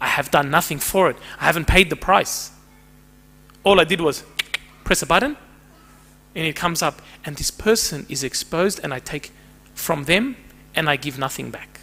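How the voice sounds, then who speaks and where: A man with fairly high pitch talks at a moderate pace, using ordinary pitch variation and long, frequent pauses. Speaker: counsellor and psychotherapist giving a church talk. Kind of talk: talk to a church group.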